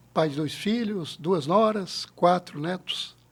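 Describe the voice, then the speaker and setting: At a fairly slow pace, a man speaks in a plain, everyday voice with ordinary pitch variation. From Brazil, Paraná (Paranavaí), raised mostly in Rondônia. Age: 60s. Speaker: credit cooperative founder. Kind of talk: podcast interview.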